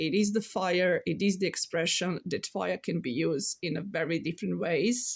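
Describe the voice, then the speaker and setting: A woman with a Serbian accent, fairly low-pitched with vocal fry, at a moderate pace with hardly any pauses and ordinary pitch variation. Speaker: tarot reader and card artist. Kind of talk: casual spiritual talk to camera. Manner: halting, many fillers.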